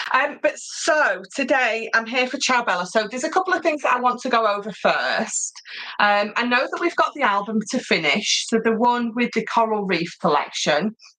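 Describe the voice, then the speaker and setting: A woman with a British accent talks loudly at a moderate pace, her high-pitched voice full of lively intonation over noticeable background noise. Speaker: craft tutorial presenter. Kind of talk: live craft tutorial. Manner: animated.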